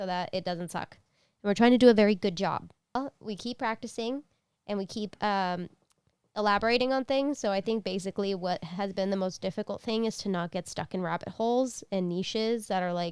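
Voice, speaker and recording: On a very clean recording with a silent background, a woman speaks in an unremarkable speaking voice at medium pitch, with ordinary pitch variation and a fairly quick pace. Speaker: wedding and quinceañera photographer, vlogger. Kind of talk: casual vlog.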